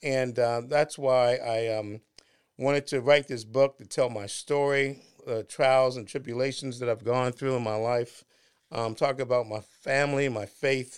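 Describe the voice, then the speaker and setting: A man at medium pitch with an American accent, fairly slow pace, and a very clean recording with a silent background. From Washington, D.C. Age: 60s. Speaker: podcast host, entrepreneur and author. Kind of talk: casual interview chat. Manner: halting, many fillers.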